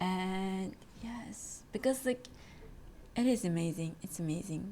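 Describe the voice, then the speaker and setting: Very slowly, a woman talks, her pitch varying in an ordinary way. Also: medium pitch for a woman. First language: not English (English is third language). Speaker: podcast host, exchange student. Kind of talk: casual chat. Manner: halting, many fillers.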